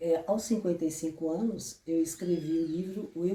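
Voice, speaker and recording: A woman with a fairly low pitch speaks at a moderate pace and fairly even intonation over noticeable background noise. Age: 70s. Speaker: therapist and author. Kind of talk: book presentation talk.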